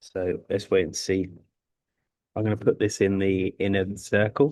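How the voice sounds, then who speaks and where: Quiet speech with fairly even intonation at a fairly slow pace. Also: man, fairly low pitch for a man. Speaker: forex trader streaming live trades. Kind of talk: live trading commentary. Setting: live stream from a sports club. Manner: quiet, subdued; halting, stammering.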